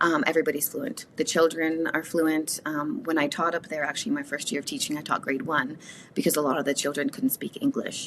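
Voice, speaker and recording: The speaker has a Canadian accent. Their intonation is lively and the pace fairly quick. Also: woman, very deep, low pitch for a woman. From Canada, Woodland Cree reserve community. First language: Cree. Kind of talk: interview conversation.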